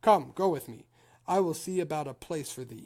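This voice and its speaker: A put-on character voice at a middle pitch moves at a moderate pace. The recording is very clean with a silent background. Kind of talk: archaic speech. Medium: read story.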